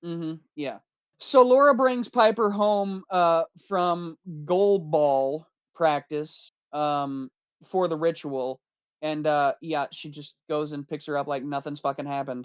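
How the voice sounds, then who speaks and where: The pace is fairly slow. The background is quiet. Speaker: horror movie podcast co-host. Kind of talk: casual chat. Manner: halting.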